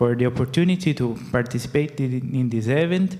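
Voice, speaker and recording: With a non-native accent, a man talks at a medium pitch. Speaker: startup founder. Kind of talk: casual remarks. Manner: halting.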